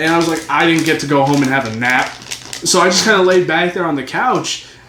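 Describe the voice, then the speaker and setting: Words come at a very fast pace, with noticeable background noise and audible room echo. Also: man, fairly high pitch for a man, ordinary pitch variation. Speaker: youtuber and podcast co-host. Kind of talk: casual chat. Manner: stuttering.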